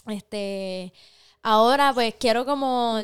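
Spoken very slowly in a Puerto Rican accent, the voice shows ordinary pitch variation on a very clean recording with a silent background. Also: woman. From Puerto Rico. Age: 20s. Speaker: podcast co-host. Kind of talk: casual chat. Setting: studio.

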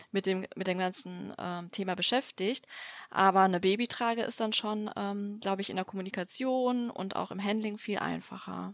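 A woman's medium-pitched, fairly quick speech with fairly even intonation, on a very clean recording with a silent background. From Düsseldorf, western Germany. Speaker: company founder. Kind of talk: interview. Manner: hesitant, many filler sounds.

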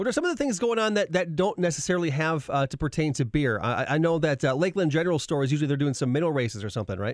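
Upbeat in tone, a man with a fairly high pitch talks at a very fast pace with lively intonation. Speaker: radio host. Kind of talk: radio dj patter. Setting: studio. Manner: upbeat, bantering; quick, punchy station-promo delivery.

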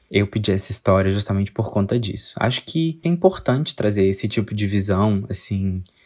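Quiet and somewhat breathy, a man talks at a moderate pace and fairly low pitch on a very clean recording with a silent background. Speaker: podcast host. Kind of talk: casual monologue. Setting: bedroom at home, late night.

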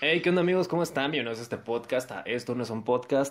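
A man speaks in a Mexican accent. His pitch is medium, with ordinary variation. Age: 20s. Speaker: podcast host. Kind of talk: casual chat.

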